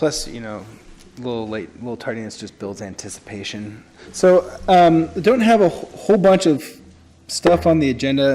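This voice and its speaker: A man with a fairly high voice swings his pitch very widely while talking at a moderate pace. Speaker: city official. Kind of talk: public meeting presentation. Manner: halting, many fillers.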